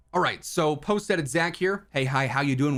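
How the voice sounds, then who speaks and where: The speech moves at a fairly quick pace. It is a normal speaking voice, and its pitch varies in an ordinary way. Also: man. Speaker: gaming YouTuber. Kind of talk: casual commentary.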